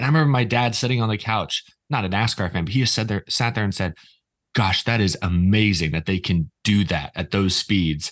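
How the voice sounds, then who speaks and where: The speaker has a normal speaking voice with an American accent, ordinary pitch variation and a fairly quick pace. The background is quiet. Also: man, fairly low pitch for a man. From Texas, Houston. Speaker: YouTuber. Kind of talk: casual chat. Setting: video call.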